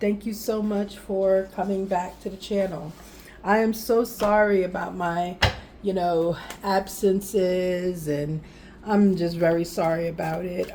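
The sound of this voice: A woman speaks in a put-on character voice, breathy and at a medium pitch. Her pace is fairly slow, with light background noise.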